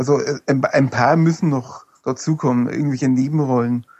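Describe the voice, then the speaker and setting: A man with an Upper Franconian accent speaks in a dark, mellow tone with ordinary pitch variation. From Upper Franconia, Germany. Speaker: fan forum administrator, autograph collector. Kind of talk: casual chat.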